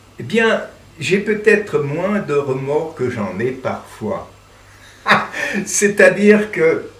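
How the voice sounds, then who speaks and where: Over noticeable background noise, a man with a high pitch and lively intonation speaks at a very slow pace with long, frequent pauses. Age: 80s+. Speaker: theatre director. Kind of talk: interview answer.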